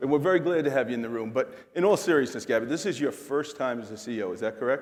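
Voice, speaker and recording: Delivered very rapidly, the speech rises and falls with lively intonation. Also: man, medium pitch for a man. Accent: New York. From New York City. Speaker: corporate executive keynote speaker. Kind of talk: keynote on-stage chat. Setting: stage with audience. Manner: animated.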